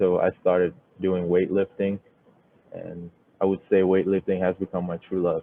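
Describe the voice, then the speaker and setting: Speaking with a Thai accent at a moderate pace, a man uses a very deep, low pitch and monotone, flat intonation, leaving long, frequent pauses. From Thailand, moved to US at 13. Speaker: software developer, bootcamp graduate, Marine veteran. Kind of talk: project presentation. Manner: halting, many fillers.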